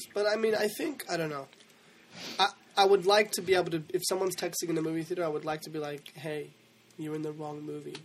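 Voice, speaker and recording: Very fast speech from a man with a high pitch and ordinary pitch variation. His loudness swings widely, and he takes long, frequent pauses. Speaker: actor. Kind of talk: casual chat. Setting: studio.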